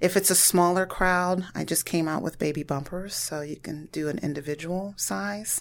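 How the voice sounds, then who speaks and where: In a very clean recording with a silent background, a woman speaks at a moderate pace and a fairly low pitch with fairly even intonation. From US Midwest, Warren, Ohio. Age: 40s. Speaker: small business owner, baker. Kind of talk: podcast interview.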